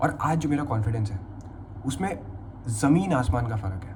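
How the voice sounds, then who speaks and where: A man talks at medium pitch. The room echo is audible. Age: 20s. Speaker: vlogger. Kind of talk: personal testimony vlog, unscripted. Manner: casual, conversational with fillers.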